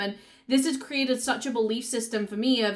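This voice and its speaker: A woman speaks with a Yorkshire accent at a fairly quick pace. Her intonation is monotone and flat on a very clean recording with a silent background. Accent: northern English (Yorkshire). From Yorkshire, northern England. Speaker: business coach and content creator. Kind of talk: personal storytelling vlog.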